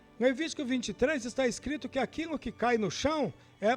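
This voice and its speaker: At a moderate pace, a man with an extremely high pitch speaks with ordinary pitch variation. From Brazil, Minas Gerais (Guaraciaba). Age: 60s. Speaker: guest storyteller. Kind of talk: personal life story testimony.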